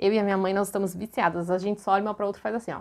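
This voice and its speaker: A woman with an animated tone against a quiet background. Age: 20s. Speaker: YouTuber. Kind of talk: vlog haul presentation. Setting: bedroom at home. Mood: cheerful, enthusiastic. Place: home room. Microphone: lapel.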